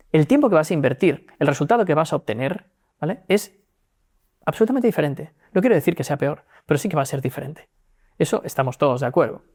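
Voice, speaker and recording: A man talks at a very fast pace but with long, frequent pauses, his fairly high voice full of lively intonation. The recording is very clean, with a silent background. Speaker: legal tech executive. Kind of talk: interview.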